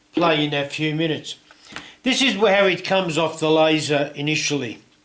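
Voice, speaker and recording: A man talks at a moderate pace in a fairly high pitch with ordinary pitch variation, over noticeable background noise. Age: 70s. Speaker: woodworking and laser-cutting hobbyist YouTuber. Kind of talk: tutorial. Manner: casual, hesitant with fillers.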